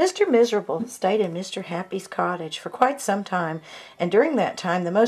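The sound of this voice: The reading voice is unforced. Its intonation has a lively lift.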